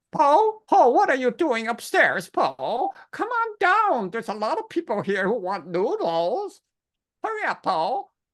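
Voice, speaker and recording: Putting on a character voice, a man speaks fairly slowly at an extremely high pitch with very wide pitch swings. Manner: playful, calling out to someone.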